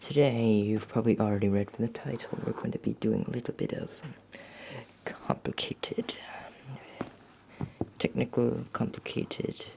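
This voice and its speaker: A man is whispering. His pace is fairly slow. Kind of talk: ASMR roleplay, relaxed talk while doing math homework. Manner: relaxed, chatty.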